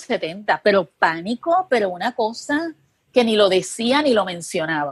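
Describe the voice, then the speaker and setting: This woman has a plain, everyday voice, fairly high in pitch, with lively intonation. She talks at a fairly slow pace in a dry, close sound with no echo. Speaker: journalist and TV producer. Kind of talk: interview conversation.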